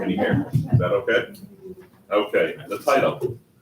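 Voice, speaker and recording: A man in an American accent speaks at a moderate pace, with noticeable background noise behind him. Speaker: town attorney. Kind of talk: reading aloud. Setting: town board meeting room. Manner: loud. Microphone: initially too quiet for the room.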